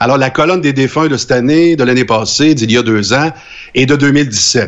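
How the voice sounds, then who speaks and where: This man's voice is fairly high in pitch, and its pitch variation is ordinary. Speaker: co-host. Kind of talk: casual chat.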